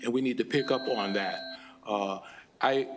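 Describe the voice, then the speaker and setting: American-accented male speech against noticeable background noise. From Pittsburgh, US. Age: 60s. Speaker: business executive. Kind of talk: legislative testimony. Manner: halting, many fillers.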